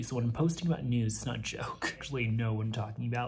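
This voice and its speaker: A man speaks with music in the background. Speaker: flight attendant vlogger. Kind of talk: casual vlog chat. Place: home room. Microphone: phone near.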